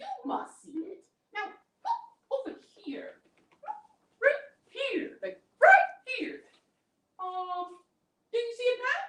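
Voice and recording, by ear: Using a put-on character voice at an extremely high pitch, the speaker moves at a fairly slow pace with long, frequent pauses.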